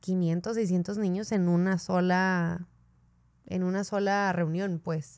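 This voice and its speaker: A woman talks at a medium pitch with fairly even intonation, in a plain, everyday voice. The recording is very clean, with a silent background. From northern Mexico, Ciudad Juárez. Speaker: podcast co-host. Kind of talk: casual interview chat.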